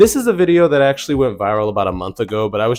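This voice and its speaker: A man talks with music playing in the background. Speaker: commentary video host. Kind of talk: casual commentary monologue.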